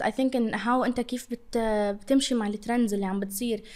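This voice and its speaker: At a very fast pace, a woman talks with a high pitch. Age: 20s. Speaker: social media influencer. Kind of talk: casual interview.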